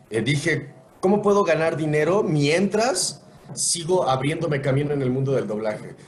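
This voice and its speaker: Against noticeable background noise, a man speaks at a moderate pace in a fairly high voice with ordinary pitch variation. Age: 40s. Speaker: voice actor. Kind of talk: podcast interview answer. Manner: casual, conversational.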